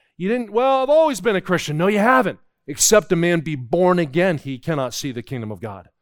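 An animated tone at a fairly quick pace, with an American accent. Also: man, very clean recording, silent background. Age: 50s. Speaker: preacher. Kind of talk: sermon. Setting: church camp service with audience.

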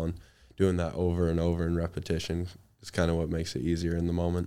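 A man speaks at a very fast pace in a very deep, low pitch with a dark, mellow tone. His intonation is monotone and flat, on a very clean recording with a silent background. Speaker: college athlete. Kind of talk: interview.

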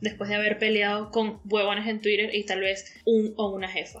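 With a Venezuelan accent, a woman speaks at a fairly slow pace and fairly high pitch amid noticeable background noise. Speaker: podcast co-host. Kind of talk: casual chat.

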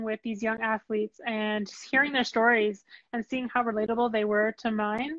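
With a Canadian accent, a woman talks at a fairly high pitch and a fairly quick pace. Her intonation stays flat and monotone. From Ottawa, Canada. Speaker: podcast host, former athlete. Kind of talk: live panel interview. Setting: live video stream.

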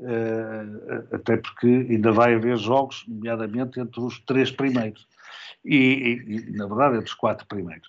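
This man talks fairly slowly. His delivery is flat and monotone. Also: medium pitch for a man. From Portugal, Porto. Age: 60s. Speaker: sports journalist and commentator. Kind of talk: interview.

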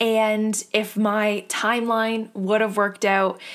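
A woman with a medium pitch speaks in an animated tone. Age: 20s. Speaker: solo podcast host. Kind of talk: casual solo chat.

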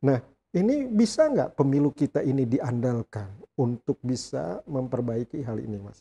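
At a moderate pace, a man with a medium pitch speaks in a dark, mellow, somewhat breathy tone with lively intonation and big swings in loudness, the sound dry and close with no echo. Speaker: law professor and dean, podcast host. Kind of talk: interview podcast. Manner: energetic.

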